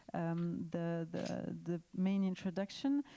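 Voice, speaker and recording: A woman speaks with a French accent at a fairly slow pace. Her tone is dark and mellow, and her intonation is fairly even. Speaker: panel moderator. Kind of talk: panel introduction. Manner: halting with many fillers.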